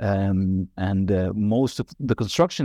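Against a quiet background, a man speaks in a dark, mellow tone with ordinary pitch variation and a dry, close sound with no echo. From Israel, Galilee. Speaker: architectural historian, author. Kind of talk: interview. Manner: halting, many fillers.

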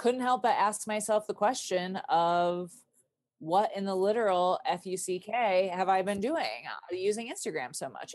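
With an American accent and a normal speaking voice, a woman speaks at a medium pitch and a moderate pace, using ordinary pitch variation against a quiet background. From Michigan, US Midwest. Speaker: dancer, writer and quiltmaker. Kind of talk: casual interview conversation.

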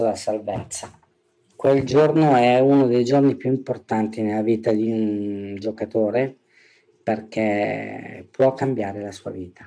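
A man speaks at a fairly slow pace with fairly even intonation. His tone is dark and mellow. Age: 40s. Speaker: business owner, recovering gambler. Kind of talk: testimony.

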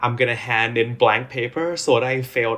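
A man with a Thai accent speaks at a moderate pace and medium pitch, with ordinary pitch variation. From Thailand. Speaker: EDM DJ and music producer. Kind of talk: casual interview chat. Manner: halting, many fillers.

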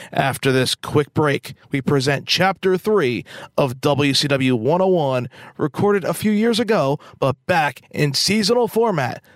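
Dry and close with no echo, an ordinary speaking voice from a man comes through at a fairly high pitch and fairly slow pace, with lively intonation and very even loudness. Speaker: podcast host and ring announcer. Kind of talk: scripted podcast intro and outro. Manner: announcer-style, formal, polished.

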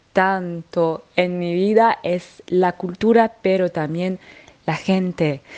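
Speaking at a medium pitch, this is a woman's voice. Her pitch variation is ordinary. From French Alps, France. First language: French (speaking Spanish). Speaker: singer. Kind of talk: interview. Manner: halting.

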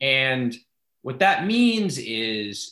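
A man speaks with a bright, sharp tone and ordinary pitch variation. The background is quiet. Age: 40s. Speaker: think tank policy analyst. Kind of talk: casual interview.

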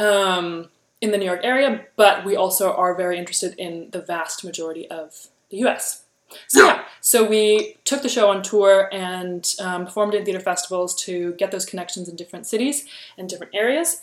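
A woman's unremarkable speaking voice at medium pitch, fairly quick, with ordinary pitch variation and big swings in loudness. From US, San Francisco-born, parents from Germany. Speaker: actress and performer. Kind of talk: casual interview chat. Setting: video call over Skype.

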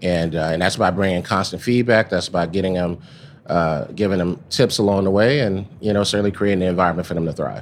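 Speaking fairly quickly with an American accent, a man with a very deep, low voice holds a fairly even intonation. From Texas, Dallas. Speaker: pharmaceutical executive. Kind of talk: interview. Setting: live at a conference.

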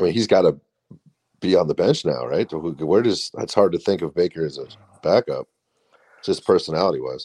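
A man talks at a fairly quick pace, leaving long, frequent pauses. The sound is dry and close, with no echo. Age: 30s. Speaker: podcast co-host. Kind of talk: casual chat. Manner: halting.

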